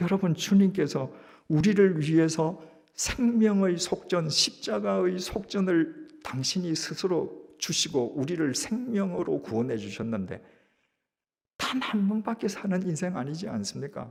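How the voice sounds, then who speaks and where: Speaking at a very slow pace, a man with a high voice uses lively intonation. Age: 70s. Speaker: pastor. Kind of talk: sermon.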